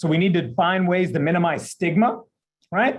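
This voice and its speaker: A man with a high pitch against a quiet background. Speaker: pain psychologist. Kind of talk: presentation. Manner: fast.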